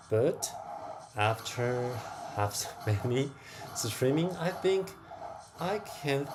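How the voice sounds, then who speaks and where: A man with a non-native accent speaks with lively intonation over noticeable background noise. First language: not English. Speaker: crypto gaming streamer. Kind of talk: casual livestream chat while gaming. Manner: hesitant, with fillers.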